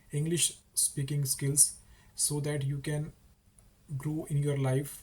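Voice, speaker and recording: A man's fairly high, somewhat breathy voice with a dark, mellow tone, monotone and flat, with an Indian accent. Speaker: English teacher YouTuber. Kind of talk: casual talk to camera.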